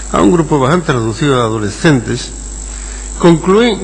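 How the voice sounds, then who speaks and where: A man with a medium pitch talks at a moderate pace and with lively intonation. Audible room echo and noticeable background noise surround him. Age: 60s. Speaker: sociology professor. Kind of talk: conference lecture. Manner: halting.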